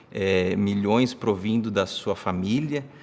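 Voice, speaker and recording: A man's lively intonation rises and falls as he talks very slowly. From Brazil, São Paulo. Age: 30s. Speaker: online finance course instructor; finance course teacher. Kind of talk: live-streamed lecture. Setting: livestream. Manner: animated. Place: home room.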